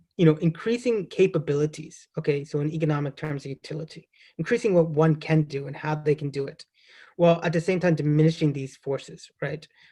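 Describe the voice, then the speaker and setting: With an American accent, a man speaks at a fairly quick pace in a dark, mellow tone. His pitch is fairly high with ordinary variation, and his loudness swings a lot. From US, Baltimore. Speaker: professor. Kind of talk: academic seminar talk. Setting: online seminar. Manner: hesitant, many fillers.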